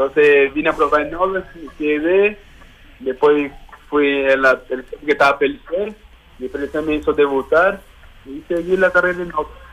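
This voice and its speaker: A man with a fairly high pitch talks fairly slowly, pausing long and often, while his pitch varies in an ordinary way. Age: 20s. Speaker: footballer. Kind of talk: interview.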